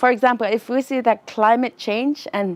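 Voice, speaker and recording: A woman with an Inuk Canadian accent speaks at a fairly slow pace with ordinary pitch variation, in a dry, close sound with no echo. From Nunavut, Canada (Inuk). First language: Inuktitut. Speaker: student. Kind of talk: interview. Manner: halting.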